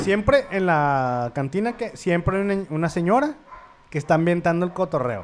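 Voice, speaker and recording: With a Mexican accent, a man talks in a high voice at a moderate pace. His pitch swings very widely. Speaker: podcast co-host. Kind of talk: casual chat.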